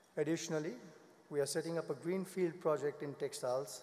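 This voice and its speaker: Speaking at a very fast pace, a man uses a fairly high pitch and fairly even intonation. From India. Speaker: business executive. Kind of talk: formal speech. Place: hall. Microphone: podium.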